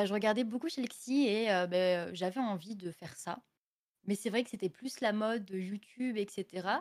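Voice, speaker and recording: At a fairly slow pace, a woman talks at a medium pitch with ordinary pitch variation. She has a plain, everyday voice. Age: 20s. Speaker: streamer. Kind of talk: casual chat. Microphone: audio a bit quiet.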